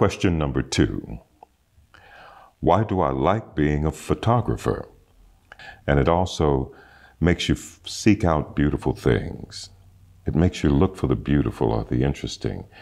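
Very deep and low, a man's voice carries lively intonation and vocal fry at a moderate pace, broken by long, frequent pauses. The recording is very clean, with a silent background. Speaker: voice actor. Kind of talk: interview answer.

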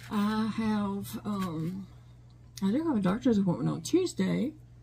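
Against light background noise, a woman speaks in a dark, mellow tone that is somewhat breathy. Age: 50s. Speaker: crochet YouTuber. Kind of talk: casual chat. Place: home room. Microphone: phone near.

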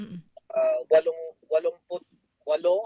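Using a high voice with ordinary pitch variation, a man speaks at a fairly slow pace. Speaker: government foreign affairs official. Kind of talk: radio phone interview.

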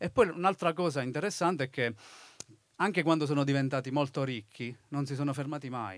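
A man's normal speaking voice, fairly high in pitch for a man, with ordinary pitch variation and a fairly quick pace. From Basilicata, southern Italy (Tricarico). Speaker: author. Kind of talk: live talk interview. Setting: festival stage with audience.

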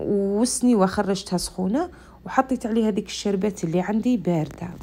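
A woman's speech moves at a moderate pace and carries ordinary pitch variation. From central Algeria. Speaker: cooking video creator. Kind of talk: cooking tutorial. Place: kitchen. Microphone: phone near.

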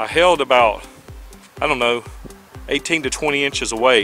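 Faint music plays behind a man whose pitch varies in an ordinary way, in a dry recording with no echo. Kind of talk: casual vlog chat. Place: garden. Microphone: phone near.

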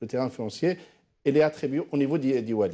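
A man's fairly high, dark, mellow voice with lively intonation. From Algeria. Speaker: company CEO; guest. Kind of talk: live TV panel debate. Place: studio.

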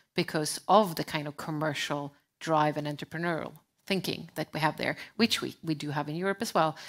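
Against a quiet background, a woman with a Swedish accent speaks at a fairly quick pace in a very deep, low pitch with fairly even intonation. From Sweden. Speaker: sustainability advisor; panelist. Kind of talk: panel discussion. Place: stage. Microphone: headset.

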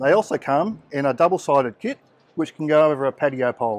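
The man speaks at a very fast pace with ordinary pitch variation. The sound is dry, with no echo. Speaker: product seller at stand. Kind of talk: product demonstration. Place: hall. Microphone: phone near.

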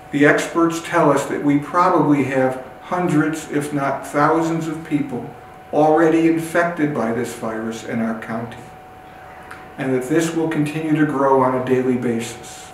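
At a moderate pace, the voice keeps a fairly even intonation over light background noise and audible room echo. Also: man. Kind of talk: public health address. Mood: serious, urgent concern. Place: empty room.

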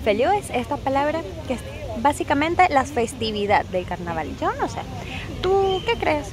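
A woman speaks at a moderate pace in a high pitch. There is noticeable background noise, and the sound is dry with no echo. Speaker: travel vlogger, Spanish teacher. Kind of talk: casual vlog chat. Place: street. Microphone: phone near.

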